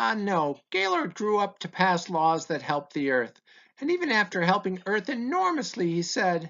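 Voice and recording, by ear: Natural-voiced reading aloud fills the clip. Its intonation stays lively throughout.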